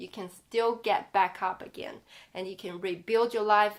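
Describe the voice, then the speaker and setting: On a very clean recording with a silent background, a woman with a non-native accent speaks at a fairly high pitch and a fairly slow pace, in a monotone, flat intonation. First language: not English. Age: 30s. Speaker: life coach and author. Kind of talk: personal vlog. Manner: casual, conversational.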